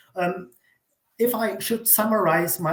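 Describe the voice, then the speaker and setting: Music plays behind a man who talks at a moderate speed with normal rises and falls in pitch. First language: not English. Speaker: academic writer. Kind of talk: reading aloud.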